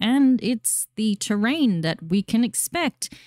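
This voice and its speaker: In an Australian accent, a woman speaks very slowly with lively intonation, medium pitch and a dark, mellow tone. The sound is dry and close with no echo, on a very clean recording with a silent background. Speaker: gaming YouTuber. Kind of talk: casual commentary on game news. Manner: animated.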